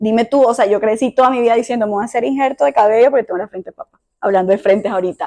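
Speaking very fast with lively intonation, a woman with a fairly high pitch comes across in a dry, close sound with no echo. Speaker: podcast host. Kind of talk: casual chat. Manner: calm, measured.

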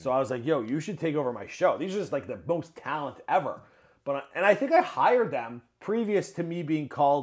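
A man with an unremarkable speaking voice, fairly high in pitch, fairly quick, with lively intonation, on a very clean recording with a silent background. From Ontario, Canada (Mississauga). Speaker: YouTube show host. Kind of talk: casual interview chat. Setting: home studio.

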